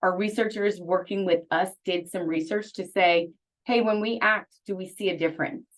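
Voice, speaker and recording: This woman talks at a medium pitch, and her pitch varies in an ordinary way. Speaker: university sustainability program leader. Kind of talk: webinar presentation. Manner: fast.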